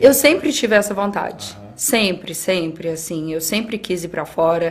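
A woman's ordinary speaking voice at a medium pitch, with ordinary pitch variation. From Brazil, interior of Minas Gerais. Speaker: athlete and skydiver. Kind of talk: casual chat.

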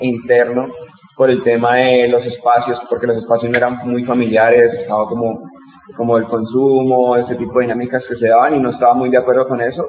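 With a medium pitch, a man's speech runs at a fairly quick pace. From Colombia, Bogotá. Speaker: rapper and educator. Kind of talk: interview.

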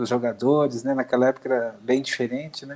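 A man with a normal speaking voice and a medium pitch talks with fairly even intonation in a very clean recording with a silent background. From Brazil, Santo André (São Paulo). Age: 50s. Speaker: football fan, former youth athlete. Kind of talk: casual chat.

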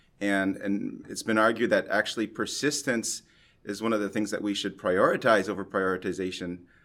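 In a very clean recording with a silent background, a man uses an ordinary speaking voice with a Canadian accent. His pitch is fairly low, his intonation fairly even, and his pace moderate. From Canada, Montreal. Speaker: environmental chemistry researcher. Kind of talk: interview. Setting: recorded at a conference.

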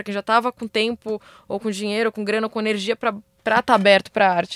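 The sound is dry and close, with no echo. A woman talks at a very fast pace in a fairly high pitch. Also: very clean recording, silent background. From Brazil, São Paulo periphery. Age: 20s. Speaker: visual artist. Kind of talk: casual chat. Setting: studio.

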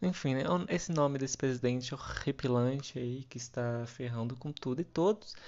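In a normal speaking voice, a man talks at medium pitch and a moderate pace with ordinary pitch variation. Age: 20s. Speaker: podcast host. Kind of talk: casual solo monologue.

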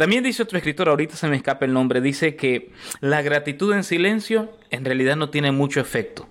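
Lively intonation and a fairly quick pace come from a plain, everyday voice. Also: man. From Costa Rica (born in Nicaragua). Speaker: pastor. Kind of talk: interview conversation.

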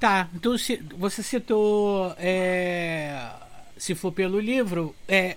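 A man's voice with ordinary pitch variation. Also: very clean recording, silent background. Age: 30s. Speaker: podcast host. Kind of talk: casual chat. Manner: animated.

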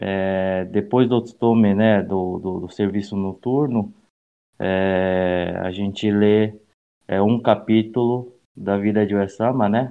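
A man talks at a very slow pace, his fairly low pitch following a fairly even intonation. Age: 30s. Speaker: youth association director. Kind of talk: casual chat.

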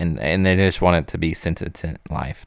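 On a very clean recording with a silent background, a man with a very deep, low pitch and vocal fry speaks at a fairly slow pace with fairly even intonation. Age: 30s. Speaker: podcast host. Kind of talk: casual solo podcast monologue. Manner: halting, many fillers.

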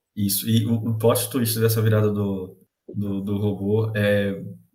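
A man speaks at a fairly slow pace in a fairly low, somewhat breathy voice with fairly even intonation, and there is audible room echo. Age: 20s. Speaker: podcast co-host. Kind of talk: casual chat.

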